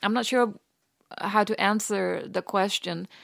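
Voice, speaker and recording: With a Danish accent, a woman talks at a fairly slow pace in a medium pitch, on a very clean recording with a silent background. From Denmark, rural Western Jutland. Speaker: author. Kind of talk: interview.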